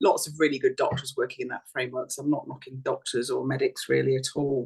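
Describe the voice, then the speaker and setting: A woman speaks with an Essex accent. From Essex, England. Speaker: doctor. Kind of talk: casual chat.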